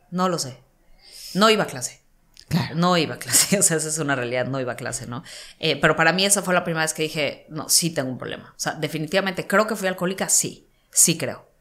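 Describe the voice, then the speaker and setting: Talking at a very fast pace, a woman with a fairly low pitch shows ordinary pitch variation. Her loudness swings widely. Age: 30s. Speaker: entrepreneur and mindset coach; mindset coach. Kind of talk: interview. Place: studio. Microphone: studio mic.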